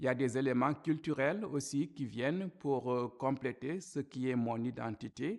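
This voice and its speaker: A medium-pitched man with an African accent speaks at a fairly slow pace with ordinary pitch variation and hardly any pauses. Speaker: church minister. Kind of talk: testimony talk to camera.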